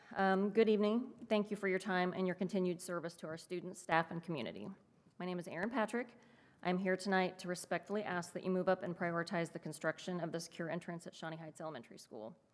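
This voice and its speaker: Speaking very fast, a woman sounds nervous and shaky at a medium pitch, with ordinary pitch variation and big swings in loudness. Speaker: parent speaking at public comment. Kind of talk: prepared public comment. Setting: school board meeting. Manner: shaky, nervous delivery; halting with self-corrections.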